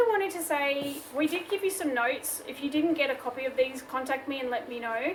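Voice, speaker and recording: A woman with an Australian accent speaks at a high pitch with ordinary pitch variation. She barely pauses, and noticeable background noise is present. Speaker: craft tutorial host. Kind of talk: tutorial. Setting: home workshop. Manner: casual, chatty.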